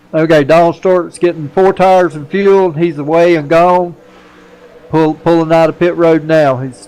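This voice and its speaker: A man with an American accent, fairly even intonation, and noticeable background noise. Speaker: sim racing commentator and league admin. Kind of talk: live race commentary with casual chat.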